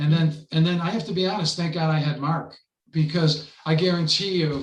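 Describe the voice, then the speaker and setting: A man with an American accent and a fairly high pitch speaks with fairly even intonation, and room echo is audible. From US, Buffalo, New York. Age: 70s. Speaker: poet. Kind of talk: casual interview.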